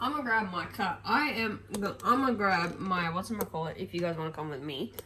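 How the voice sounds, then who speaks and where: A woman's animated, fairly quick delivery with lively intonation over noticeable background noise. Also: medium pitch for a woman. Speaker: vlogger. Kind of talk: casual vlog chat. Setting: at home, kitchen and bedroom. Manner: chatty, animated.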